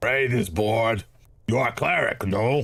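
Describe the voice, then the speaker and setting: The voice is a raspy, put-on character voice. It moves at a moderate pace. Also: man. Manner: silly, hissing, bored.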